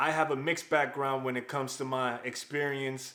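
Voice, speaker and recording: A man speaks at a fairly quick pace and a medium pitch, with noticeable background noise. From New York, US (Dominican-born, moved at 8). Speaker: software engineer, YouTuber. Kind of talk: personal vlog storytelling. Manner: casual.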